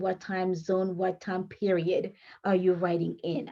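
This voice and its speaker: A woman with a non-native accent and a dark, mellow tone speaks at a fairly slow pace. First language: French. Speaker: author and writing coach. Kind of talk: tutorial. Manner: halting.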